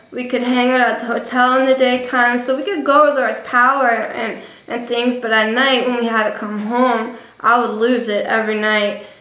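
A woman with an American accent talks at a moderate pace in a high, monotone, flat voice, with audible room echo. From New Jersey. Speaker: vlogger. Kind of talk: casual vlog monologue. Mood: reflective, emotional storytelling. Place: home room. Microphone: webcam.

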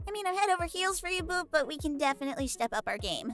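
With clear music in the background, a female-sounding put-on character voice speaks at an extremely high pitch and a very fast pace. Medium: role play. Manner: upbeat, excitable.

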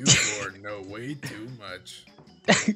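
Over music in the background, a man performs a put-on character voice at a fairly low pitch. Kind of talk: comic overacting. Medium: machinima. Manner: cheery host turning menacing.

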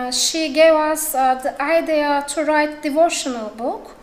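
A woman with a Turkish accent speaks at a fairly slow pace and a high pitch. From Turkey. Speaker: editor; conference speaker. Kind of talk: conference talk. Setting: stage with audience. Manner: halting. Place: hall. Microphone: podium.

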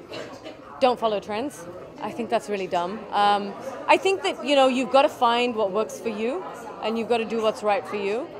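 Moderate pace and ordinary pitch variation, with crowd noise in the background. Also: woman. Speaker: guest. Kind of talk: interview answer. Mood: relaxed, casual. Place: shop. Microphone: handheld.

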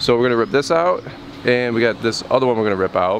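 Talking at a very fast pace, a man sounds dry with no echo over light background noise. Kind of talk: casual vlog chat. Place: street. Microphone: phone near.

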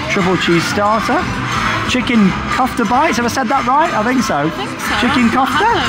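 With loud music in the background, a man speaks with ordinary pitch variation. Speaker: theme park vlogger. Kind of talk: casual vlog commentary. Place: cafe.

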